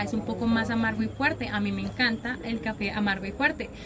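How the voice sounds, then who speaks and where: Rushing at a very fast pace, a woman with a fairly high pitch speaks in a Paisa accent over noticeable background noise. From Antioquia, Colombia. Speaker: coffee farm guide. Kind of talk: casual interview. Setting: outdoors on a coffee farm.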